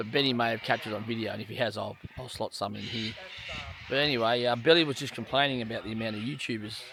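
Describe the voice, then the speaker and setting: A man with an Australian accent speaks at a very fast pace and a medium pitch. Noticeable background noise runs beneath him. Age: 50s. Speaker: outdoor travel vlogger. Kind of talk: casual chat. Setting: outdoors.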